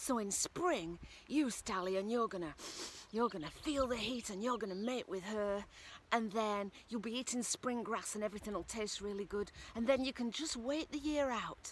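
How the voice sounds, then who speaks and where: A woman with a Northern English accent speaks at a fairly high pitch. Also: ordinary pitch variation, moderate pace. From Northern England. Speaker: storyteller. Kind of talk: folk tale storytelling.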